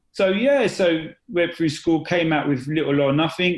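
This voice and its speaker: A fairly high male voice in an English accent, with ordinary pitch variation over a quiet background. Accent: British (English). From East London, England. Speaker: confidence and accountability coach. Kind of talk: podcast interview. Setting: podcast. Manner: hesitant, many fillers.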